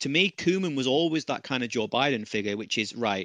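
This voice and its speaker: A man with a British accent and a bright, sharp tone, talking at a fairly quick pace, in a dry, close sound with no echo and a quiet background. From Britain. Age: 30s. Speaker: football pundit. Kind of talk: casual chat.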